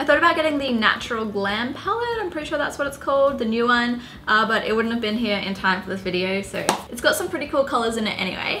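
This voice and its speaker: Over noticeable background noise and audible room echo, a woman with a high pitch talks at a very fast pace with lively intonation. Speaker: beauty youtuber. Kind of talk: tutorial. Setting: home apartment. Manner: casual, chatty.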